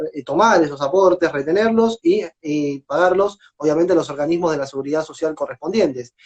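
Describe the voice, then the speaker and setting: The man's voice is high. He talks at a fairly quick pace. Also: ordinary pitch variation. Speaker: lawyer teaching a class. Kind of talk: lecture. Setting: Instagram live stream. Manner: fast.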